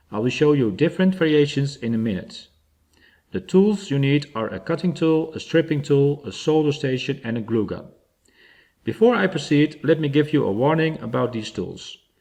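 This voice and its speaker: Over a quiet background, a dark, mellow tone carries lively intonation in a Dutch accent. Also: man, fairly high pitch for a man, moderate pace. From Netherlands. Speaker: DIY electronics hobbyist. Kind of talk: tutorial.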